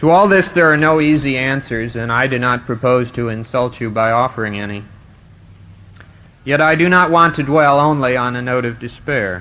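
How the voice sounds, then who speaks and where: Using an ordinary speaking voice, a man with an American accent talks at a moderate pace, medium pitch and ordinary pitch variation. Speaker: college graduating student giving commencement speech. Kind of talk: commencement address, formal speech to an audience. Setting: live stage recording, 1970 vintage audio.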